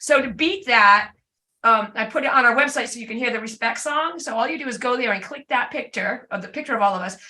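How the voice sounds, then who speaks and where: A woman's high-pitched, bright, sharp voice at a very fast pace, with ordinary pitch variation and big swings in loudness. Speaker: class leader / instructor. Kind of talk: tutorial.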